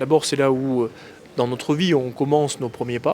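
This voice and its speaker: Over noticeable background noise, a man talks in a fairly high pitch with fairly even intonation. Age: 30s. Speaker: politician. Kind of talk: interview. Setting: in Morocco. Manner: frequent hesitations (euh).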